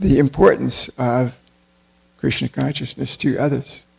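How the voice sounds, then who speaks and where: A man is speaking. He has an American accent. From United States. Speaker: temple lecturer on scripture. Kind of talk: religious class lecture.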